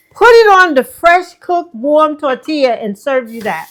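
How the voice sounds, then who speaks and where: Using very wide pitch swings, a woman with a New York accent talks at a fairly slow pace. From New York City, Manhattan. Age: 70s. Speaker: herbalist, ex-wife of a healer. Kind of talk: casual chat. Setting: home kitchen.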